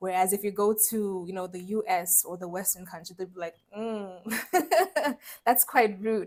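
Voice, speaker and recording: A woman speaks in a Namibian accent at a fairly slow pace and medium pitch. Her pitch varies in an ordinary way, while her loudness swings widely. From Namibia and Brazil, later UK. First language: Oshiwambo. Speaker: mining engineer and startup founder. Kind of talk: podcast interview.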